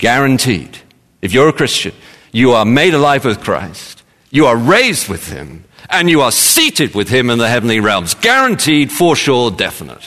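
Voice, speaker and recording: A man with a London accent talks at a moderate pace in a bright, sharp tone, with vocal fry and lively intonation. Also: medium pitch for a man. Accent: southern English (London). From London, England. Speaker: pastor. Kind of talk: sermon.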